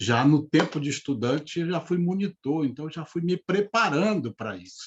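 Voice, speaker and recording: An unremarkable speaking voice with lively intonation at a fairly slow pace. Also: man. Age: 60s. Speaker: retired bank manager and speaker on money. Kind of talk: live interview talk. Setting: live video stream.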